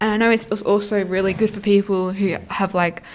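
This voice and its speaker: Her tone animated, a woman with a strong Australian accent speaks at a medium pitch and a moderate pace. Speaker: fanfiction audiobook narrator. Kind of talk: casual chat to viewers.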